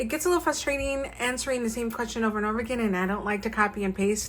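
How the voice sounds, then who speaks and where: Somewhat breathy and fairly high in pitch, a woman talks with ordinary pitch variation amid audible room echo. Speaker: stationery YouTuber. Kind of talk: show-and-tell tutorial. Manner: casual with many fillers.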